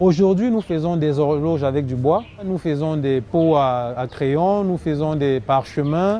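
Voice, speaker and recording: A man at a very slow pace, dark and mellow in tone. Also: fairly high pitch for a man, ordinary pitch variation. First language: Cameroonian local language (speaking French). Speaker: woodcraft entrepreneur. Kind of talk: TV interview.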